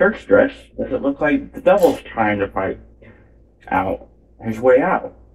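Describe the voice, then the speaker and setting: This man talks at a fairly slow pace. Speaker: painting channel host. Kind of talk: casual painting tutorial. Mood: joking, playful. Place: home room. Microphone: phone near.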